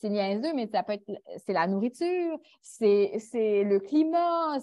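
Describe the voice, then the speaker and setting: A woman with a fairly high pitch speaks at a very slow pace, her pitch swinging very widely. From Quebec. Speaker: international volunteer. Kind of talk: panel discussion.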